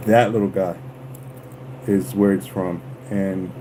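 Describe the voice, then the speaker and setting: A man with a fairly low voice speaks at a fairly slow pace over noticeable background noise. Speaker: lure painter livestreamer. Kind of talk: livestream craft tutorial. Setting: livestream.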